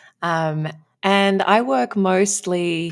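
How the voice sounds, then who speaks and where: A woman with an Australian accent, in a dry, close recording with no echo. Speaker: relationship coach. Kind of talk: podcast interview.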